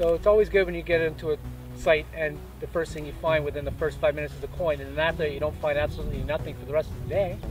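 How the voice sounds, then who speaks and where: A man talks at a very fast pace in a dry space with no echo, faint music playing behind him. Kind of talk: casual vlog chat. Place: open country.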